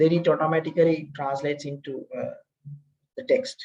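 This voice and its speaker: This man has an Indian accent and a high voice, talking at a moderate pace with ordinary pitch variation. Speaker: lecturer. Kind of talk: lecture. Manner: hesitant with many fillers.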